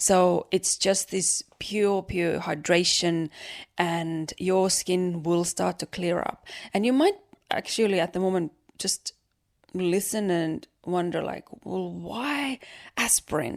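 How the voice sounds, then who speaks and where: Speaking very slowly in an Estonian accent, a woman uses a fairly low pitch with ordinary pitch variation, in a dry, close sound with no echo. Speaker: podcast host. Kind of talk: casual monologue, beauty tips.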